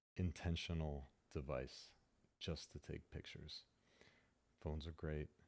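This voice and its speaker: A soft-spoken man with a dark, mellow tone speaks at a very deep, low pitch with fairly even intonation. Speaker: tech ASMR YouTuber. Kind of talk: ASMR unboxing and review.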